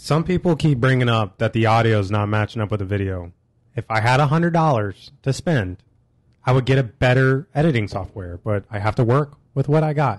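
A man with an American accent speaks in a normal speaking voice at medium pitch, at a moderate pace and with lively intonation, over a quiet background. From Illinois, Springfield area. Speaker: podcast co-host. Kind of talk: casual chat. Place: studio.

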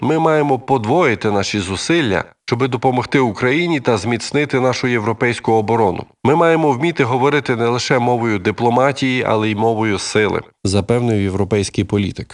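On a very clean recording with a silent background, a man in a normal speaking voice talks at a medium pitch and a moderate pace, with very even loudness and ordinary pitch variation. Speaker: news presenter. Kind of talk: news reading.

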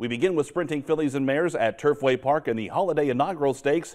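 Against a quiet background, a man rattles along at a very fast pace. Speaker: TV racing show host. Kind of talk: news presenting. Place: studio.

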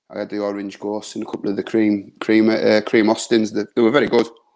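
A man speaks with a northern English accent. The background is quiet. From northern England. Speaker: beer reviewer. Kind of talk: casual chat. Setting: video call. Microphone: video call.

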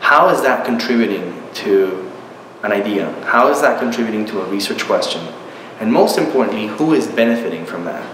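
A man's fairly quick speech with audible room echo and light background noise. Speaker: university professor. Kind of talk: interview answer. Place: home room.

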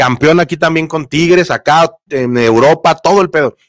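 In a dry, echo-free recording with little behind it, the man's voice carries lively intonation. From Mexico. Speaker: sports YouTuber. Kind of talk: live stream chat. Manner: casual, conversational. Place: home room. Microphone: studio mic.

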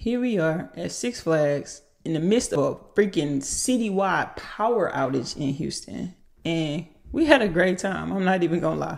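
Against a quiet background, a woman with vocal fry speaks at a moderate pace and fairly low pitch, her intonation lively. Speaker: vlogger. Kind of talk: casual vlog reflection. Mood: warm, reflective. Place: home room. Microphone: studio mic.

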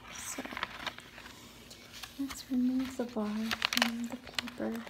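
A woman talks at a very slow pace as loud background noise fills the recording. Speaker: ASMR creator. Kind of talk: ASMR soft-spoken talk to camera. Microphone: phone near.

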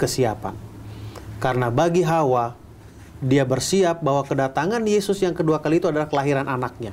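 A man's lively intonation over light background noise. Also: fairly high pitch for a man, fairly quick pace. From Bandung, West Java, Indonesia. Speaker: pastor. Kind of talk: Bible teaching and sermon-like discussion. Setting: studio. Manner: conversational, asks rhetorical questions. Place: studio.

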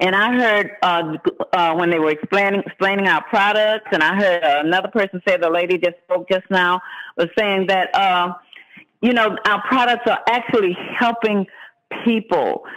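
At a moderate pace, a man speaks in a high-pitched voice with very even loudness. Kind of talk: sales pitch. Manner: excitable, energetic, pumped-up. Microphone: phone line.

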